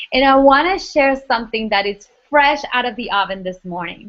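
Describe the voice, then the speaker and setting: Spoken in a Spanish accent, the delivery is fairly slow with lively intonation. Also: woman. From Argentina, Buenos Aires. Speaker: life coach. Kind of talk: webinar training talk. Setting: online webinar broadcast.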